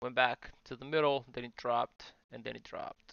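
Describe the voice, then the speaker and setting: At a moderate pace, a man talks in a medium pitch with flat, monotone intonation and vocal fry. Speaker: trading educator. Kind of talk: live trading commentary. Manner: hesitant, many fillers.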